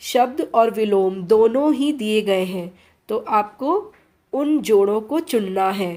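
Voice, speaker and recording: A woman with a dark, mellow tone and lively intonation. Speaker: Hindi teacher. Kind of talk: tutorial. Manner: slow, clear dictation.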